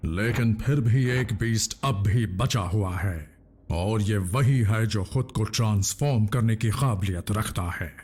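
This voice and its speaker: Using a put-on character voice, a man speaks at a moderate pace with hardly any pauses. His pitch is fairly low. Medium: fan dub. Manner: measured, grave.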